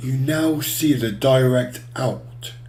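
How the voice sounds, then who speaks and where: A man with fairly even intonation, audible room echo and noticeable background noise. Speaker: music software tutorial maker. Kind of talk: tutorial.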